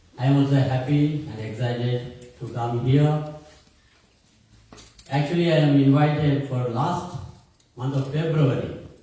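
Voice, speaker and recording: A man with a fairly high voice speaks in a fairly even tone, with long, frequent pauses. The room echo is audible. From India. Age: 60s. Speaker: priest and theology professor. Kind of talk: talk to an audience.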